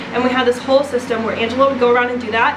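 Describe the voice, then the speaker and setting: Against noticeable background noise and audible room echo, a woman speaks at a high pitch. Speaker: home renovation vlogger. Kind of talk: casual vlog talk. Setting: house under renovation. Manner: animated; loud.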